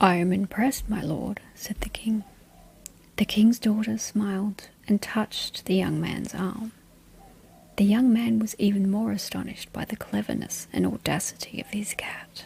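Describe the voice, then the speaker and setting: A soft-spoken woman at a moderate pace. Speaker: bedtime story reader. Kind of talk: read fairy tale.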